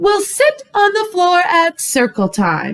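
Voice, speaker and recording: In a put-on character voice, a woman talks at a fairly slow pace. Her pitch is extremely high and swings very widely. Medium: read story. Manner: gentle, sweet.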